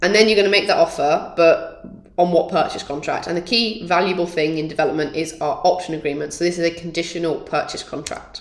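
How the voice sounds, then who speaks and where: A woman talks very fast in a fairly low pitch with hardly any pauses and fairly even intonation. Noticeable background noise can be heard. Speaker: property development trainer. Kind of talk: workshop lecture.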